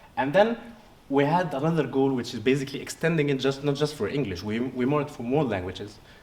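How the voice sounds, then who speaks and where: A man's fairly high-pitched voice with an Arabic accent, lively intonation and a very fast pace, plus audible room echo and noticeable background noise. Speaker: researcher. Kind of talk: poster presentation interview. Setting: conference poster session. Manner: halting, many fillers and restarts.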